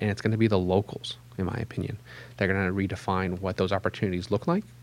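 Here is a man with an unremarkable speaking voice and a fairly low pitch. He moves at a fairly quick pace with ordinary pitch variation. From Pittsburgh, western Pennsylvania. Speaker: economic development executive. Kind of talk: interview.

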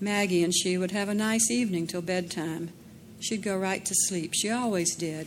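Ordinary pitch movement in plain reading aloud

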